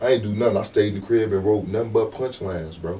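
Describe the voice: The man's voice sits fairly low in pitch and has a dark, mellow tone.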